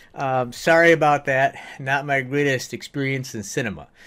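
A man talks at a moderate tempo, and the background stays quiet. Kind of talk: tutorial. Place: home room.

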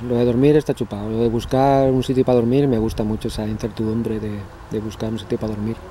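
Over light background noise, a man speaks at a very fast pace with medium pitch. The sound is dry, with no echo. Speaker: cycling vlogger. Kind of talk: casual vlog monologue. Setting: outdoors. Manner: animated. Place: forest. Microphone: phone near.

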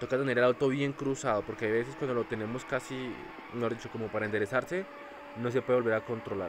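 A man with a medium pitch rattles along at a very fast pace while noticeable background noise plays behind him. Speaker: mobile gaming YouTuber. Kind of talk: gameplay commentary. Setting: seated at table, recording phone gameplay. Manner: animated.

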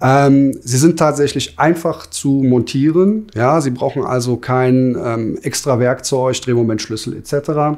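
The speech moves at a very slow pace with hardly any pauses over a quiet background. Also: man, fairly high pitch for a man, ordinary pitch variation. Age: 40s. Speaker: master plumber and heating installer, business owner. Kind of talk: interview. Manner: hesitant, many filler sounds. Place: office. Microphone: lapel.

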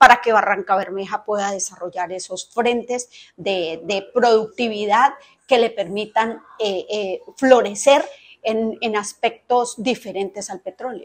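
A woman speaks at a very slow pace with ordinary pitch variation and big swings in loudness. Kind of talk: interview answer. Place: office. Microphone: lapel.

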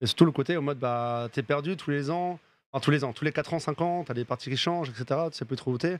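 At a fairly quick pace, a man talks with a fairly high pitch and ordinary pitch variation, in a dry recording with no echo. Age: 30s. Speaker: esports streamer host; remote guest. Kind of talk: casual chat. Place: home room. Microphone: studio mic.

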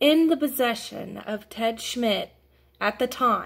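The background stays quiet. A woman does the talking. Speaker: vlogger telling a family story. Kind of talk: casual vlog chat. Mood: upset, indignant. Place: home room. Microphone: phone near.

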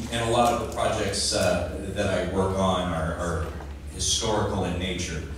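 At a moderate pace, a man with a very deep, low pitch and ordinary pitch variation speaks amid strong room echo and noticeable background noise. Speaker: writer, playwright. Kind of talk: casual self-introduction to audience. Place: hall.

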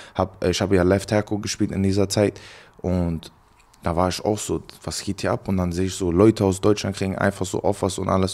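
Intonation stays fairly level as the words come at a fairly brisk speed. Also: man. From Germany, Cologne; Germany. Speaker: college football player; guest. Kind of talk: casual interview. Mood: relaxed, reflective. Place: home room. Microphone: handheld.

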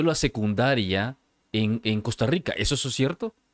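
The voice moves at a moderate pace with lively intonation. The sound is dry with no echo over a quiet background. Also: man. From El Salvador, San Salvador. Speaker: podcast host. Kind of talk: interview. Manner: halting, repeats words. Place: studio. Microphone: studio mic.

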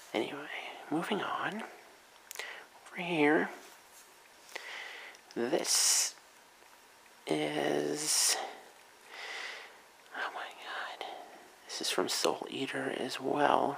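Whispering at a very slow pace, with long, frequent pauses. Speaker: ASMR video creator and convention-goer. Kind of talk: ASMR soft-spoken talk to camera. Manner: soft-spoken. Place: home room. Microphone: camera far.

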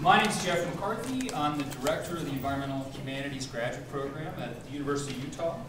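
Audible room echo and noticeable background noise surround a man talking at a very fast pace. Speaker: program director host. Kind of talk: introductory speech. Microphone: camera far.

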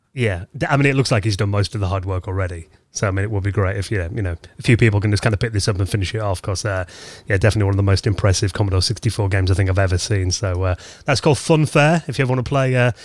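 Somewhat breathy and with ordinary pitch variation, the speech moves at a very fast pace in a very clean recording with a silent background. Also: man. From northeast England. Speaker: podcast host. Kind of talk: interview; casual chat.

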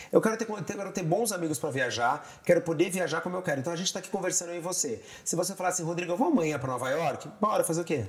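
A high-pitched man talking at a very fast pace, with ordinary pitch variation and hardly any pauses. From Brazil, São Paulo. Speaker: TV director and tour guide; tour guide. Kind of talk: casual interview chat. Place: home room. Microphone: lapel.

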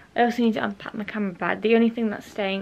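A woman's fairly even intonation over light background noise. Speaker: vlogger. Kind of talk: casual vlog chat. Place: home room. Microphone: phone near.

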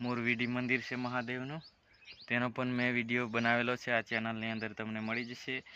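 A man speaks at a medium pitch in a bright, sharp tone. His intonation is monotone and flat. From Gujarat, Chhota Udepur district. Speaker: travel vlogger. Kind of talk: walking vlog narration. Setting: outdoors, hillside jungle.

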